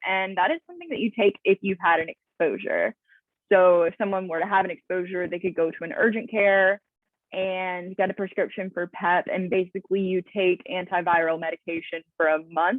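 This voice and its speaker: In an American accent, a woman talks at a medium pitch with fairly even intonation. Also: fairly quick pace. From US South. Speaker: HIV prevention worker. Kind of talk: training presentation. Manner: casual, frequent fillers.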